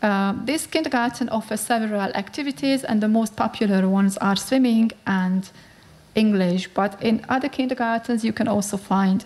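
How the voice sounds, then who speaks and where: A woman with a Hungarian accent sounds somewhat breathy, using a fairly high pitch and ordinary pitch variation. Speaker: researcher. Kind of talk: conference talk. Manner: halting.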